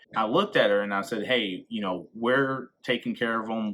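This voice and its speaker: With an American accent, a man speaks at a moderate pace and a medium pitch. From North Carolina / South Carolina border, US South. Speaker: vlogger and teacher. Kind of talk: casual vlog narration.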